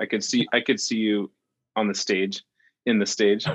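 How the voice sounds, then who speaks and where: A man talks at a moderate pace with a fairly low pitch. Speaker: podcast co-host. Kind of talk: casual interview. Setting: video call.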